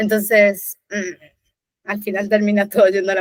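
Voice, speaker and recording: Speaking in a medium pitch, a woman keeps a moderate pace. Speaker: designer. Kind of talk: casual chat.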